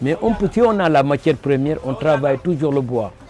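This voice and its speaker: The voice belongs to a man. Background noise is plainly noticeable throughout. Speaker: wood sculptor. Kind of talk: interview. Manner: halting.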